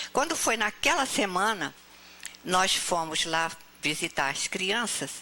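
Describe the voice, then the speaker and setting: Over noticeable background noise, a woman speaks at a fairly slow pace in a fairly low pitch with ordinary pitch variation. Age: 80s+. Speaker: spiritist speaker. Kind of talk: talk to audience. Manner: animated storytelling.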